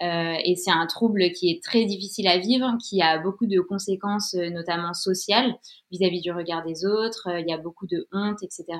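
A woman with an ordinary speaking voice talks at medium pitch and a moderate pace, with fairly even intonation. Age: 30s. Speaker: freelance communications writer sharing a health story. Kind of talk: testimony.

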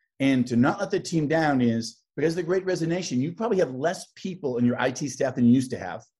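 Against a quiet background, a man with a fairly high, somewhat breathy voice speaks at a moderate pace with lively intonation. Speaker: tech sales executive. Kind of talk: interview. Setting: video call.

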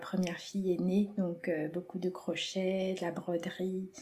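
Noticeable background noise sits under the speech. The delivery is fairly slow. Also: woman. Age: 40s. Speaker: creative drawing teacher. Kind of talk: interview.

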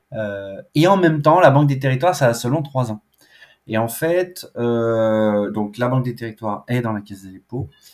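A man at a very slow pace on a very clean recording with a silent background. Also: big swings in loudness. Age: 40s. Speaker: public finance program director. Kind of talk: interview. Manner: casual with frequent hesitations.

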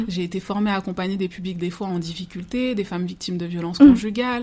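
A woman talks at a fairly quick pace in a somewhat breathy voice with fairly even intonation. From Seine-Saint-Denis, Paris suburbs, France. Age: 30s. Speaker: life coach and former social worker. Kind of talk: interview testimony.

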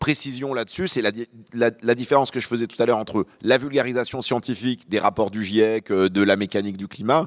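A man talks at a very fast pace in a medium pitch. His pitch variation is ordinary. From Lyon, France (born in Beirut). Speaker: journalist and podcast host. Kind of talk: panel discussion. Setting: stage with audience.

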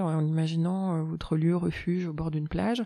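Against a quiet background, a woman with a fairly low pitch and a dark, mellow tone speaks at a moderate pace. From Europe. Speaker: shaman. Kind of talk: podcast interview.

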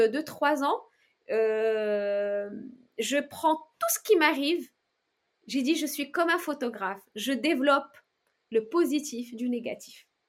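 A woman with a high pitch and lively intonation at a very slow pace, with long, frequent pauses. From outside France. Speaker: entrepreneur, founder of a luxury shoe brand. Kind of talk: interview. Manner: halting, many repetitions and fillers; energetic, upbeat.

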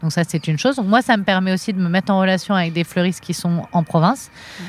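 A woman's plain, everyday voice, fairly low in pitch, at a fairly quick pace with ordinary pitch variation and a dry, close sound with no echo. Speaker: florist and shop owner. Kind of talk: interview. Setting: outdoors in a botanical garden.

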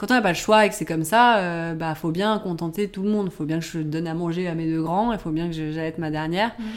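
A woman's very fast delivery with hardly any pauses, fairly low in pitch, with ordinary pitch variation. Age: 30s. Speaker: journalist and online shop owner, mother. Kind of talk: casual interview about breastfeeding. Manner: hesitant, many fillers.

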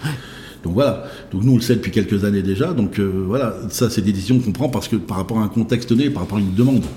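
Here a man talks very fast in a fairly low voice with ordinary pitch variation. Noticeable background noise is present. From Brittany, France (Saint-Brieuc). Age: 40s. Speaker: fast-food chain founder. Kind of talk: interview. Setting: restaurant. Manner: halting, many fillers.

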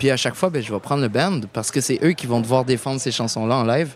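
A man with a normal speaking voice at medium pitch and ordinary pitch variation. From Quebec. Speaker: musician. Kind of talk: interview. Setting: outdoor festival.

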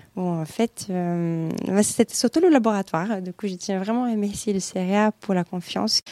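With a dark, mellow tone, a woman speaks at a medium pitch and a moderate pace with ordinary pitch variation, in a dry, close sound with no echo. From Brazil. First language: Portuguese (speaking French). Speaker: atmospheric scientist. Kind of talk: interview. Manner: hesitant, many fillers.

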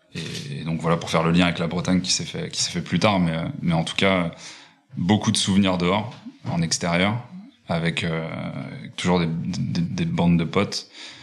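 With noticeable background noise behind him, a man with a very deep, low pitch speaks at a moderate pace with ordinary pitch variation. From Paris region, France (Fontainebleau). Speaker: hospitality design entrepreneur. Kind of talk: interview. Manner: halting, many repetitions and fillers.

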